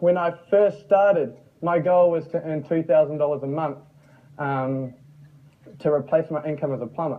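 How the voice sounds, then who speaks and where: Against noticeable background noise, a man with a New Zealand accent speaks at a high pitch. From New Zealand, Mount Maunganui. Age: young. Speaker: online marketer and former plumber. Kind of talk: motivational talk. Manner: animated.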